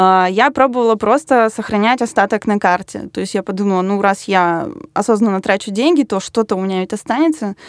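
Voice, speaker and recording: Recorded dry and close with no echo and a silent background, a woman's normal speaking voice at medium pitch moves at a fairly quick pace with ordinary pitch variation. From Russia, Yaroslavl. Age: 20s. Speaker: designer. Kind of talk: casual chat.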